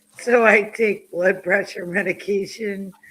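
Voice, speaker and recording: A woman with an ordinary speaking voice talks with fairly even intonation. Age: 60s. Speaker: podcast co-host. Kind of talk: casual chat.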